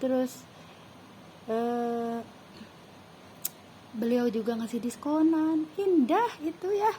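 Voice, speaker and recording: A woman speaks at a very slow pace with a Sundanese accent, her high voice lively in intonation, broken by long, frequent pauses over noticeable background noise. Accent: Sundanese-accented Indonesian. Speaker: vlogger. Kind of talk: casual monologue. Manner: casual, unpolished.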